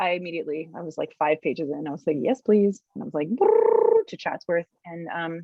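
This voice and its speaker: A woman speaks at a fairly low pitch and a moderate pace. Her pitch variation is ordinary. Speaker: actress. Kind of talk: interview. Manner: animated storytelling.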